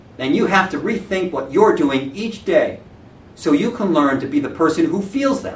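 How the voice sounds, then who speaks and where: Here a man talks at a high pitch with very wide pitch swings. His moderate pace is heard through audible room echo. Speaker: real estate branch manager. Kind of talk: motivational talk. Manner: loud.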